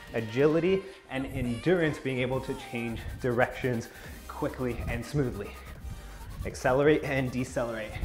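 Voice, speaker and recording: Clear music plays in the background while a man speaks with long, frequent pauses. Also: ordinary pitch variation, moderate pace. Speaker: fitness instructor. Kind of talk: workout instruction. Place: home room. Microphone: camera far.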